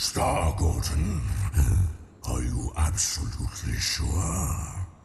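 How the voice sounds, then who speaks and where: A man does a put-on character voice, growling at a very slow pace with a very deep, low pitch, with clear echo and clear background noise. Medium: game stream. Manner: condescending, theatrical.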